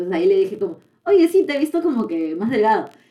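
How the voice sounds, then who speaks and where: The voice moves very fast, its pitch swinging very widely. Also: woman. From Peru. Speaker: podcast co-host. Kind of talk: casual chat. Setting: studio.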